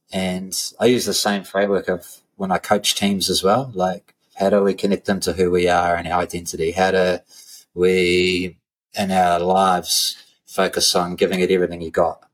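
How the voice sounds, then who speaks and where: A man with a New Zealand accent has a very deep, low pitch. His intonation is monotone and flat. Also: moderate pace. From New Zealand, Christchurch. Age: 40s. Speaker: strength and conditioning coach, gym owner. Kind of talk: casual interview chat.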